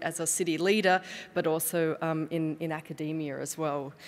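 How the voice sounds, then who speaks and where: In an Australian accent, a woman speaks in a fairly low pitch with monotone, flat intonation. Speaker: city official; conference speaker. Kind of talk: conference presentation. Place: hall. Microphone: podium.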